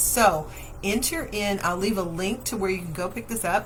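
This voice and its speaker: Audible room echo surrounds a woman's voice. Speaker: daycare owner and show host. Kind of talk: live Q&A show. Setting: Facebook livestream.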